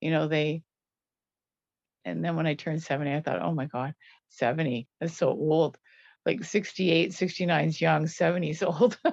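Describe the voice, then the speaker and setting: Against a quiet background, a woman speaks at a moderate pace in a very deep, low pitch with vocal fry. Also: ordinary pitch variation. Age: 70s. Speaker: viewer asking questions. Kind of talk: casual chat.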